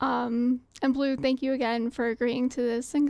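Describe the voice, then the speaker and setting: A woman with a high voice and an American accent speaks. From US South. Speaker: gaming streamer. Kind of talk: casual chat; stream outro.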